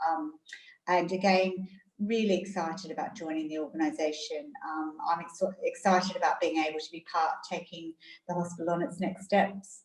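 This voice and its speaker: The voice is somewhat breathy, with an Australian accent. It moves at a moderate pace. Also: woman, fairly low pitch for a woman, ordinary pitch variation. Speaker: hospital chief executive. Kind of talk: interview. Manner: hesitant, many fillers.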